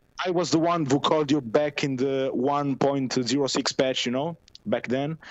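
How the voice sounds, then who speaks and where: A man with an Italian accent and a fairly high pitch talks at a moderate pace with ordinary pitch variation. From Italy. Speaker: caller. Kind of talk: casual chat. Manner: halting.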